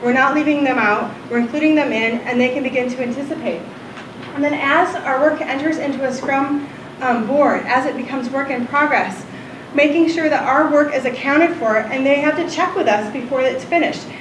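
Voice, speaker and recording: Against noticeable background noise and audible room echo, a woman speaks loudly at a fairly quick pace in a high voice with ordinary pitch variation. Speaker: UX designer giving conference talk. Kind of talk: ignite talk. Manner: fast.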